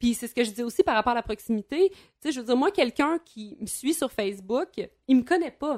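Fairly quick, lively delivery with big swings in loudness and a dry, close sound with no echo. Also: woman, high pitch for a woman. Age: 30s. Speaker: former teacher and radio columnist. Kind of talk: casual chat.

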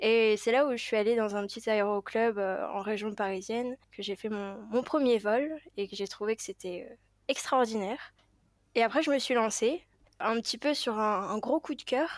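Speech moves at a fairly slow rate. Its pitch rises and falls in an ordinary way. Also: woman, fairly high pitch for a woman. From Paris, France. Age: 20s. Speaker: airline pilot. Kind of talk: interview. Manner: hesitant, many fillers.

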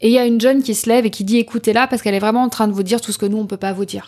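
Here a woman talks. Her pitch contour holds fairly even. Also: very clean recording, silent background. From central France (Berry, Châteauroux). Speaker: coach and speaker on neurodiversity. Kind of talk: interview, personal life story.

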